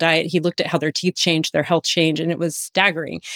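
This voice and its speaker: Speech comes at a very fast pace with an American accent. The recording is very clean, with a silent background and a dry, close sound with no echo. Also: woman. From USA. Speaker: functional medicine practitioner. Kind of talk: personal testimony in interview. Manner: animated.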